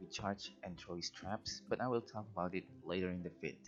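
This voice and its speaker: A man talks with a non-native accent. Music plays behind him. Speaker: gaming video creator. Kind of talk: scripted narration.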